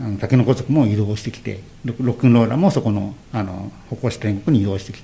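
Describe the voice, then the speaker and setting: A man keeps a moderate pace and ordinary pitch variation as noticeable background noise continues. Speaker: former street dance group leader. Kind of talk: radio interview. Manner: halting.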